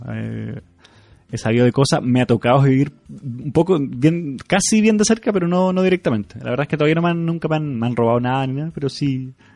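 Fairly quick and lively in intonation, a man speaks at a fairly high pitch in an unremarkable speaking voice. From Chile. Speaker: podcast host. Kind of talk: casual chat.

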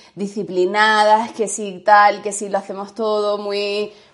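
A woman's medium-pitched voice at a fairly slow pace, over a quiet background. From Andalusia, Spain. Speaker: podcast co-host, yoga teacher. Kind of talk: casual chat.

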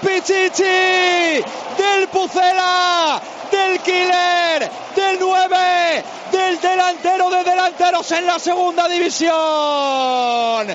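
At an extremely high pitch and a very slow pace, a man talks with very even loudness and fairly even intonation over noticeable background noise. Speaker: radio sports commentator. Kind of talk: live football commentary, play-by-play. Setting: radio broadcast from stadium.

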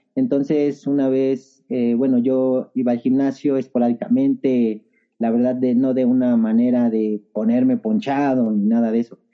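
Here a man uses an unremarkable speaking voice at a medium pitch and fairly slow pace. His loudness stays very even, and his intonation is fairly even. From Mexico City area (Estado de México, Ajusco). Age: 30s. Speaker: trail runner. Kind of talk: casual interview chat.

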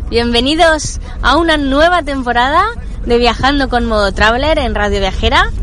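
A high-pitched woman at a moderate pace, with lively intonation and very even loudness, over noticeable background noise and audible room echo. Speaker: travel podcast host. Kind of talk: travel vlog narration; sponsor mention.

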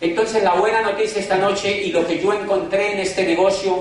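A man's voice carries audible room echo. There is noticeable background noise too. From Colombia, Cali. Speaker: motivational speaker, former university rector. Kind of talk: business opportunity presentation.

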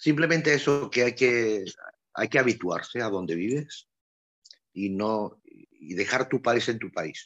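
Here a man talks at a medium pitch. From Andalusia, Spain. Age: 60s. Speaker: electromechanical technician, emigrant worker. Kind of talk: interview. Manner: hesitant, many fillers and repetitions.

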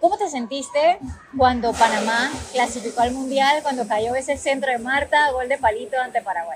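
Music in the background behind a woman's high voice, with ordinary pitch variation at a moderate pace. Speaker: podcast host. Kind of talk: interview. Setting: outdoors at a football venue.

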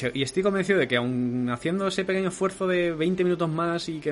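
The pitch moves with ordinary variation. Noticeable background noise is present. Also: man. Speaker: podcast host. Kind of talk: casual chat. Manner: fast.

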